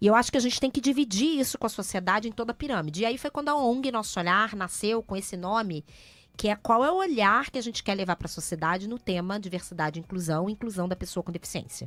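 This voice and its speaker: A woman in a Rio de Janeiro accent, very fast, medium in pitch, with lively intonation, on a very clean recording with a silent background. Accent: carioca. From Rio de Janeiro, Brazil. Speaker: NGO founder. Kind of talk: radio interview. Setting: radio studio.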